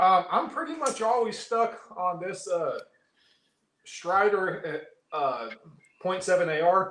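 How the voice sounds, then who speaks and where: In an American accent, a man with a high pitch and lively intonation speaks at a very slow pace, leaving long, frequent pauses. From Northern California. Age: 30s. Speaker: knife video reviewer. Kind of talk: casual chat. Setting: video call.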